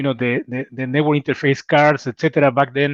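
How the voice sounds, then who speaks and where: A man at a fairly quick pace and fairly high pitch, with a quiet background. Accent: strong Mexican. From Mexico City. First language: Spanish. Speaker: cybersecurity executive. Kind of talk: interview.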